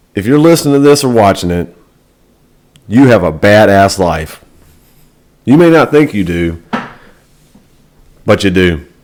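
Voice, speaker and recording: Loud and at a moderate pace, a man with an American accent and fairly low pitch speaks with very wide pitch swings and long, frequent pauses. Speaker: navy sailor and motivational vlogger. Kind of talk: motivational talk.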